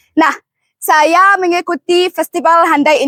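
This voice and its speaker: A woman's moderate-paced speech comes through in a dry, close sound with no echo. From Egypt. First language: Arabic (speaking Indonesian). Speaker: student contestant in poetry recital competition. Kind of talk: self-introduction.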